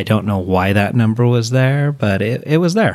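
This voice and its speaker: With a plain, everyday voice, a man talks at a medium pitch and ordinary pitch variation. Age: 40s. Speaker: senior living services manager. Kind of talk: interview conversation.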